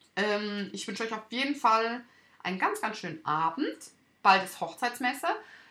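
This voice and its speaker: A woman at a moderate pace and fairly high pitch, with a bright, sharp tone, on a very clean recording with a silent background. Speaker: wedding podcast host and wedding photographer. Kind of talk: solo podcast monologue. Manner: halting, with stumbles and fillers.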